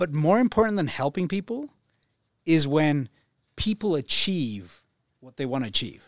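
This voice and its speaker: At a moderate pace with long, frequent pauses, the voice shows very wide pitch swings and big swings in loudness, in a very clean, dry, close recording with no echo and a silent background. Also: man, fairly high pitch for a man. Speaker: financial advisor. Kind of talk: interview. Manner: calm.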